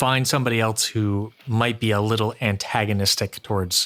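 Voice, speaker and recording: This man has an ordinary speaking voice. He talks at a moderate pace and a medium pitch. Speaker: YouTube reaction commentator. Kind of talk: reaction commentary.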